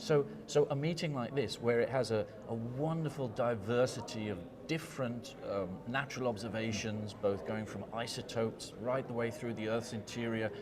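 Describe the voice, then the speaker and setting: With audible room echo and noticeable background noise, the speaker keeps a moderate pace and ordinary pitch variation. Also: man, medium pitch for a man. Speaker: geochemist, scientific society vice president. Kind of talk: conference interview. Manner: animated, enthusiastic; repeats words, stumbles.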